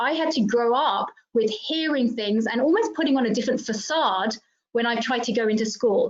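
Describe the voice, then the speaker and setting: At a moderate pace, a woman with a British accent talks in a high pitch with ordinary pitch variation. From England (grew up in UK, Indian Assamese heritage). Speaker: diversity trainer, panelist. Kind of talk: panel discussion.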